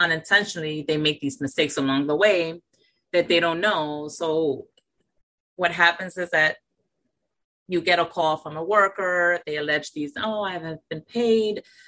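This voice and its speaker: Against a quiet background, a woman with an unremarkable speaking voice talks in a fairly low pitch with ordinary pitch variation. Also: moderate pace. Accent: American. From New York City. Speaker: government labor official. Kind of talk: radio interview.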